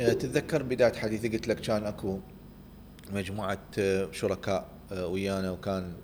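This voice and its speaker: A man reads at a fairly slow pace in a fairly low pitch. His intonation stays fairly even. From Iraq (Baghdad, Samarra). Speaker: tech startup founder and CEO. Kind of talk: interview. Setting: studio.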